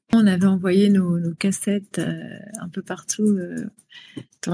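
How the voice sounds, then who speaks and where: A woman's somewhat breathy, medium-pitched voice, fairly slow in pace, with monotone, flat intonation. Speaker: pop singer. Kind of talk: interview. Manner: halting, many hesitations.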